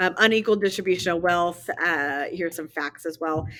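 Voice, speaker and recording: Speaking at a moderate pace, a woman has a normal speaking voice with a fairly low pitch. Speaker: history teacher. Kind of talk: lecture.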